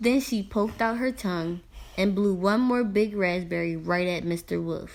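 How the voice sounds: A natural reading voice, pitch varying in an ordinary way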